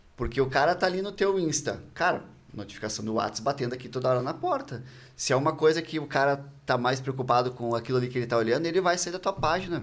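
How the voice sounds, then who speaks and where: A man with a fairly high pitch talks at a very fast pace, with ordinary pitch variation. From Porto Alegre, southern Brazil. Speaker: marketing agency co-founder. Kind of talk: casual interview chat.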